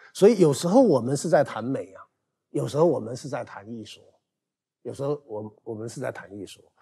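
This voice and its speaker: The background stays quiet as a man speaks at a fairly quick pace. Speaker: teacher. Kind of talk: casual chat. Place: studio. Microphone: lapel.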